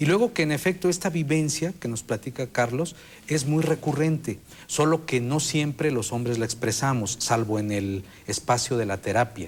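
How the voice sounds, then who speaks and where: A man's somewhat breathy, medium-pitched voice with lively intonation at a moderate pace. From Mexico. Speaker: sexologist, expert panelist. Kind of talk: TV panel discussion.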